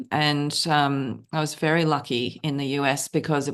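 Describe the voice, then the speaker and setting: A woman with an Australian accent speaks at a very deep, low pitch with fairly even intonation over a quiet background. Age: 50s. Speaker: novelist. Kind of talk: interview.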